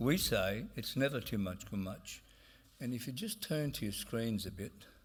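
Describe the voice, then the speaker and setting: The speaker uses lively intonation at a moderate pace, with audible room echo. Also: man, medium pitch for a man. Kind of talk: conference speech. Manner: halting, many fillers.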